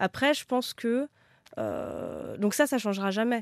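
This woman's pitch moves with ordinary variation. The recording is very clean, with a silent background. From France, Créteil (Paris suburbs). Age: 30s. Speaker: talent agent. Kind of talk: casual interview. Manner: halting, many repetitions and fillers.

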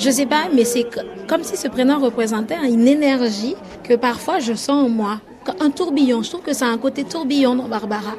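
Music plays in the background as a woman speaks. Her pitch is high, with ordinary variation, and her pace is moderate. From French Guiana. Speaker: interviewee. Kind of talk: interview.

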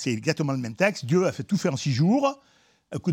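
A man's very fast, somewhat breathy voice with lively intonation, dry and close with no echo, on a very clean recording with a silent background. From Auvergne, France. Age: 70s. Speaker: geologist, professor emeritus. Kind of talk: interview, popular science explanation.

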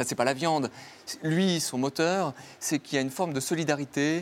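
At a fairly quick pace and a fairly high pitch, a man talks in an unremarkable speaking voice, his pitch varying in an ordinary way. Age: 40s. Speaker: philosopher and author. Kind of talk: interview.

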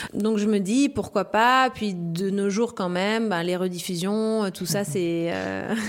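A woman with a medium pitch speaks very slowly, using ordinary pitch variation. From La Réunion. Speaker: professional surfer. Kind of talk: interview.

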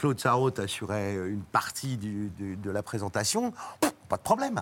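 Speaking at a moderate pace, a man with a normal speaking voice uses lively intonation. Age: 60s. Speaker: actor and cook. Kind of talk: TV talk show chat.

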